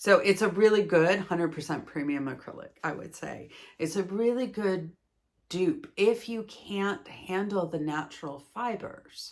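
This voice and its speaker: A woman speaks in an ordinary speaking voice at a medium pitch and a fairly slow pace. Her intonation is lively, with big swings in loudness. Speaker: yarn crafting video creator. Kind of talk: casual product review monologue. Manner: chatty, with frequent fillers.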